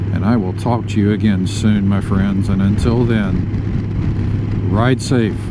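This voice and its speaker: A man with an American accent, fairly low-pitched and monotone, at a very slow pace with hardly any pauses and very even loudness, amid audible room echo and music in the background. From US South. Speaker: motorcycle vlogger. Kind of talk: casual ride vlog narration. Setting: riding a motorcycle outdoors. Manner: heavy breathing; frequent ums.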